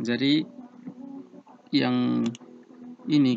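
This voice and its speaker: Over noticeable background noise, a man talks with an eastern Indonesian accent. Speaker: civil engineering student tutor. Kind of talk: tutorial. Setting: online screen recording.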